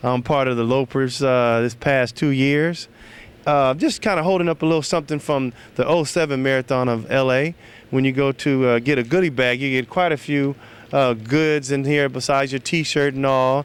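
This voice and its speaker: With an unremarkable speaking voice, a man at a fairly high pitch talks at a moderate pace, his intonation fairly even and his loudness very even. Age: 40s. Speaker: running club member. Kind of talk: testimonial.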